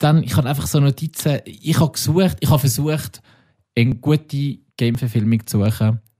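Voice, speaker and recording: The voice has a dark, mellow tone, somewhat breathy, with ordinary pitch variation and very even loudness, recorded very cleanly against a silent background with a dry, close sound and no echo. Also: man, medium pitch for a man, moderate pace. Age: 30s. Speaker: podcast co-host. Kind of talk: casual chat.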